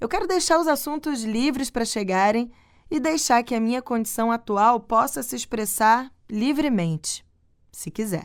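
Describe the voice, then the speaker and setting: A woman speaks with an unremarkable speaking voice, fairly high for a woman. Her intonation is lively, and the recording is very clean with a silent background. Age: 30s. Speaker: podcast host. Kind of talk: personal reflective monologue.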